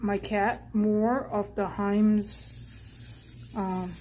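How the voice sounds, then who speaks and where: A woman speaks with light background noise. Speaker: YouTube haul vlogger. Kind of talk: casual haul video monologue. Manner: casual, chatty. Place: home room. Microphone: phone near.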